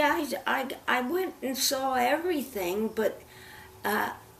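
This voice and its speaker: High-pitched and very slow, a woman's voice makes very wide pitch swings against noticeable background noise. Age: 80s+. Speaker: comedienne and actress. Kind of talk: interview answer.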